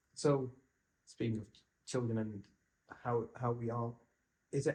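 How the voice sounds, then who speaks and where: A man with an English accent, a dark, mellow, somewhat breathy tone and flat, monotone intonation. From England. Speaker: museum interviewer. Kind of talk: interview.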